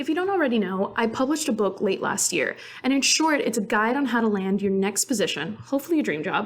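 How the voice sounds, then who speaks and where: Over noticeable background noise, a woman talks at a fairly quick pace with lively intonation and a fairly high pitch. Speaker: podcast host and career author. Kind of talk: solo podcast monologue. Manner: fast; casual, with filler ums.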